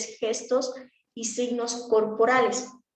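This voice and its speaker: Audible room echo surrounds a woman's high voice. Her intonation stays monotone and flat. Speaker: speech therapy instructor. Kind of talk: lecture. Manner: fast.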